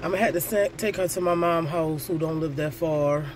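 Noticeable background noise sits under a dry sound with no echo. A woman with a very deep, low pitch talks at a fairly quick pace. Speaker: vlogger. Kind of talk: casual vlog chat. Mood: stressed, exasperated. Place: car. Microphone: phone near.

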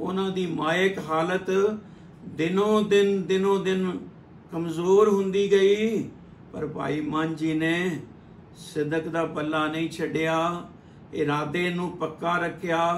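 A man speaks in a high pitch with fairly even intonation. The room echo is audible, and there is light background noise. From Punjab, India. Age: 70s. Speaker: storyteller. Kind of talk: religious storytelling. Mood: calm, earnest storytelling. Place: home room. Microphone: phone near.

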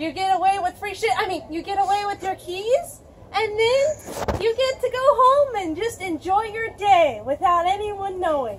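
Over noticeable background noise, a woman with an extremely high pitch talks at a moderate pace with hardly any pauses. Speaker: presenter. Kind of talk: casual tutorial. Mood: playful, joking, mock-sneaky. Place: street. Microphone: camera far.

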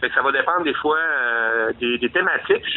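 Speaking in a Quebec accent, a man uses a fairly high pitch and lively intonation. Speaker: metal band singer. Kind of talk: interview.

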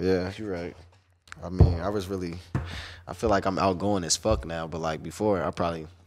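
Despite long, frequent pauses, a man with a very deep, low pitch keeps a fairly quick pace over noticeable background noise. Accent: American. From Chicago, US Midwest. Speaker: podcast co-host. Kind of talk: casual interview chat. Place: studio. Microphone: studio mic.

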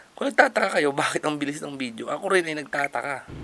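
A man at a fairly high pitch, very fast pace and ordinary pitch variation, against noticeable background noise. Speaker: vlogger and home-based freelancer. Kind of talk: casual vlog narration. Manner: playful, joking.

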